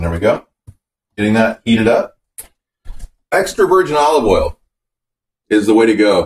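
There's audible echo from the room as this man's pitch rises and falls over a very wide range. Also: moderate pace. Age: young. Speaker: home cooking video host. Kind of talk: casual cooking tutorial. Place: kitchen.

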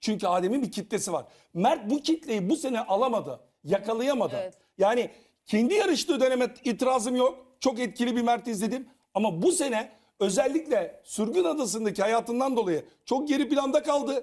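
A man speaks at a moderate pace with lively intonation against a quiet background. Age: 50s. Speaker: TV panelist, former reality show contestant; TV panel commentator. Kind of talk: casual panel discussion. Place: studio.

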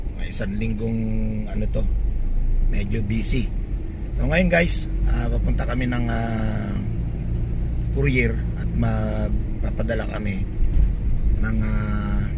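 Over loud background noise, a man speaks at a very slow pace with long, frequent pauses. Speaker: vlogger. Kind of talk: casual vlog chat. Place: car. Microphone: phone near.

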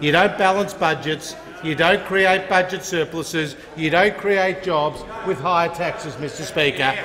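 Speaking with an Australian accent, a man with a high pitch keeps a fairly slow pace and fairly even intonation over light background noise. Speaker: government minister. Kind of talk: parliamentary debate. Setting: parliament chamber. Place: hall. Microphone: podium.

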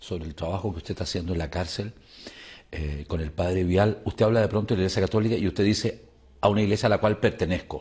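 A man talks at a fairly quick pace in a somewhat breathy voice. His tone is dark and mellow. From Chile. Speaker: TV interviewer. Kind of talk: TV interview. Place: studio. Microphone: lapel.

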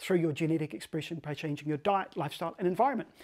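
Over a quiet background, a man talks at a very fast pace. His pitch is high with ordinary variation, and his tone is dark and mellow. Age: 50s. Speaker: health and wellness coach; health coach. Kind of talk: direct-to-camera tip video; sales pitch. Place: home room. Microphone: lapel.

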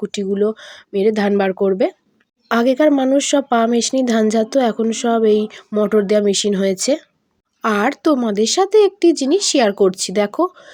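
A woman's dark, mellow voice, fairly high in pitch with ordinary variation and very even loudness, in a dry, close sound with no echo. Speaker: village vlogger. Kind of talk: vlog narration.

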